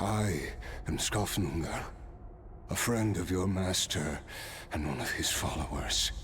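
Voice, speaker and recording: Over clear background noise, someone delivers lines in a put-on character voice at a fairly slow pace. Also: man. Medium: video game. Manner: measured, reminiscent.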